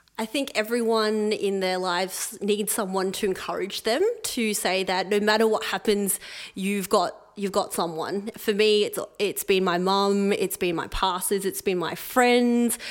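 In a very clean recording with a silent background, a woman with an Australian accent speaks at medium pitch, at a fairly slow pace, with fairly even intonation. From Melbourne, Australia. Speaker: occupational therapist and charity volunteer. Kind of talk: interview before live audience. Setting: stage with audience.

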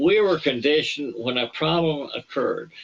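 A man with a Southern US accent at a moderate pace. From Alabama. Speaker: retired space engineer. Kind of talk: interview. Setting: remote call. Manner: halting.

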